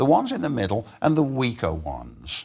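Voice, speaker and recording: On a very clean recording with a silent background, a man is talking. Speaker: lecturer on teaching. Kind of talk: lecture. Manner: fast.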